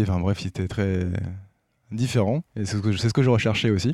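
Here a man speaks with a dark, mellow tone and fairly low pitch, varying it in an ordinary way. The recording is very clean with a silent background. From Brittany, near Brest. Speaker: PhD student and adventurer. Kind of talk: interview.

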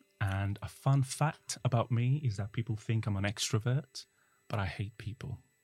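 Somewhat breathy, a man talks at a medium pitch and moderate pace with ordinary pitch variation, on a very clean recording with a silent background. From Italy. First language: Italian. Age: 40s. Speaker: translator. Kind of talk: casual chat. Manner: animated.

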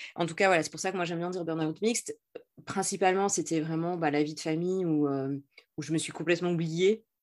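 A woman's fairly low voice at a fairly quick pace with fairly even intonation. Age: 40s. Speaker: entrepreneur and LinkedIn coach. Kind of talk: interview. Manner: halting.

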